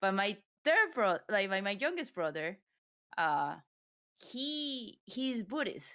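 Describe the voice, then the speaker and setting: A woman with a non-native accent speaks very slowly at a medium pitch, her bright, sharp tone rising and falling through very wide pitch swings, broken by long, frequent pauses. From Ecuador. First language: Spanish. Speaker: streamer. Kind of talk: casual chat. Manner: halting.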